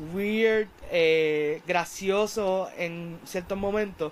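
This is a man speaking. His pitch is high. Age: 20s. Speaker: film reviewer YouTuber. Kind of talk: film review monologue. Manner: casual, animated.

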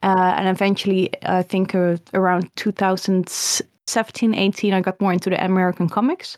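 A woman speaks in a Dutch accent at a medium pitch with flat, monotone intonation. The sound is dry and close with no echo, and the recording is very clean over a silent background. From Netherlands. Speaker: illustrator and comic artist. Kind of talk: interview.

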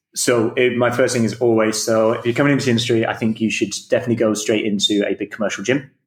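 Speaking very fast with hardly any pauses, a man keeps a medium pitch and a flat, monotone intonation. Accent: Manchester. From northern England. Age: 30s. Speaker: fitness coach. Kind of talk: interview.

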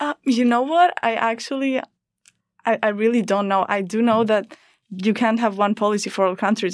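The speaker talks at a very fast pace with a Greek accent. The recording is very clean, with a silent background. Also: woman. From Greece. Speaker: student podcast host. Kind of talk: interview. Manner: hesitant, repeats words.

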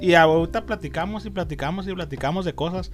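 This man's voice sits high for a male speaker. He talks at a very fast pace. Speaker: comic and collectibles shop owner. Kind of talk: casual interview.

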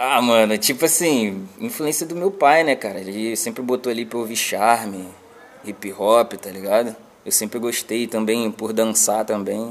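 Moderate pace and ordinary pitch variation against noticeable background noise. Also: man. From Baixada Fluminense, Rio de Janeiro. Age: 20s. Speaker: rapper and music producer. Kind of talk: casual interview.

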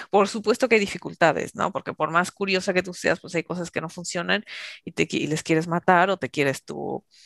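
A woman with vocal fry speaks at a moderate pace. Her pitch moves in an ordinary way. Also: dry, close sound with no echo. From Mexico. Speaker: intercultural trainer. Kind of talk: interview.

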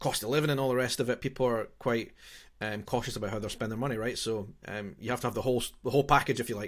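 A medium-pitched man with a Scottish accent, at a very fast pace with fairly even intonation, on a very clean recording with a silent background. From Scotland. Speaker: podcast host. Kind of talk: casual interview chat.

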